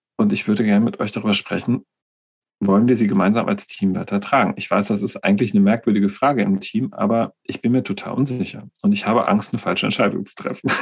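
Fairly even intonation at a very fast pace. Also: man, fairly low pitch for a man. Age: 40s. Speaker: nursing coach and co-host. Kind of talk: casual chat.

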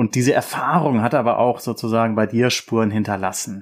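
In a very clean recording with a silent background, a man with a normal speaking voice talks at a moderate pace and medium pitch. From Rhineland, Germany. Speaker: podcast host, political scientist. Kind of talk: interview.

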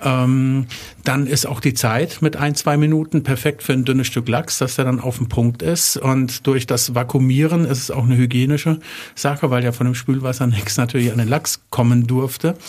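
Somewhat breathy, a man's medium-pitched voice moves along at a moderate pace. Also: fairly even intonation. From Germany, Wertheim (northern Baden-Württemberg). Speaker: chef and catering business owner. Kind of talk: interview. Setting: studio.

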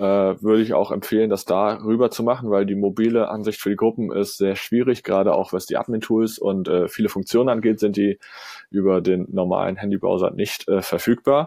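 A man with a fairly low pitch speaks at a fairly quick pace, his intonation fairly even. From northern Germany, Kiel. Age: 20s. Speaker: social media manager. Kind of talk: podcast interview. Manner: hesitant, many filler sounds.

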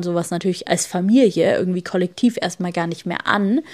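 At a moderate pace and medium pitch, a woman talks with ordinary pitch variation in an unremarkable speaking voice on a very clean recording with a silent background. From Germany. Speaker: podcast host. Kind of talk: solo podcast monologue.

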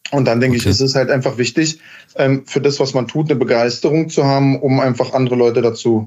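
A man talks at a very fast pace. His intonation is fairly even and his loudness very even. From Berlin, Germany. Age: 30s. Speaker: heating company founder and master installer. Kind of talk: podcast interview. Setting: remote call.

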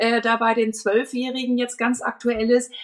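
This woman has an unremarkable speaking voice with a fairly high pitch. She talks at a fairly slow pace. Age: 50s. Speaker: marketing expert and dance school owner. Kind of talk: podcast interview.

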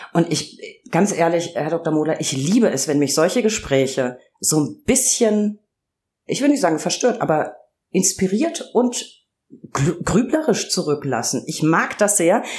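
Her voice fairly low in pitch, a woman speaks at a fairly slow pace with very wide pitch swings. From Franconia, Germany. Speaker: podcast host, press spokesperson. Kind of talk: interview podcast.

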